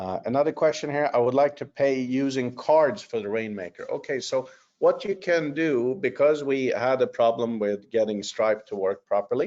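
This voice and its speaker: A man at fairly high pitch, moderate pace and lively intonation, with hardly any pauses. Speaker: company executive presenting a webinar. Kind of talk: webinar update with Q&A. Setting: online webinar. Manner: many fillers and hesitations.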